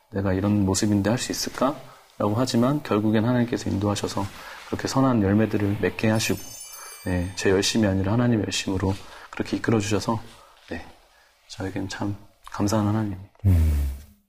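Over noticeable background noise, a man talks with long, frequent pauses. His fairly low voice has fairly even intonation. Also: fairly quick pace. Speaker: singer. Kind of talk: interview.

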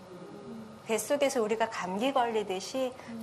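With noticeable background noise and audible room echo, a woman talks at a fairly slow pace and a fairly high pitch. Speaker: mother of athlete. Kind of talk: interview. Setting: stage with audience.

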